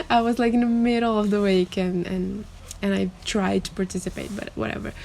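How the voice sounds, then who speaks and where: A woman speaks with a Brazilian accent. Her pace is fairly quick. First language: Portuguese. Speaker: booktuber. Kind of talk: casual vlog talk. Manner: halting, with fillers.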